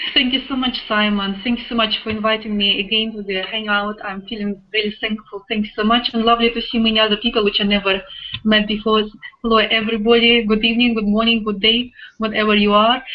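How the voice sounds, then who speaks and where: Over noticeable background noise, a woman with a Russian accent talks very fast in a fairly high pitch. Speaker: online business affiliate, web designer. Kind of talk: testimony. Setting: video call. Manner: animated.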